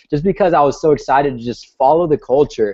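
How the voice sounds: Here a man speaks with an American accent at a fairly quick pace. His tone is slightly mellow, with ordinary pitch variation.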